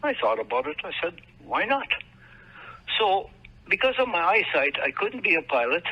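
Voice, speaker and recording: Speaking at a moderate pace with a Manitoba accent, this voice swings very widely in pitch. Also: man. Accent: Canadian, Manitoba. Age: 70s. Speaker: military veteran. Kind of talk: interview. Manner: halting.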